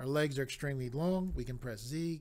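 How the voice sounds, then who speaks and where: A man with a plain, everyday voice speaks at a moderate pace, medium in pitch with ordinary pitch variation. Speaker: 3D modeling tutorial maker. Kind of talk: software tutorial. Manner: step-by-step instructional.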